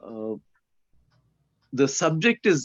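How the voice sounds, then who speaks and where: Speaking very slowly, a man with a Keralan accent uses lively intonation. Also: dry, close sound with no echo. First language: Malayalam. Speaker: speaker introducer, former prison worker. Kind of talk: casual introduction on a webinar. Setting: video call.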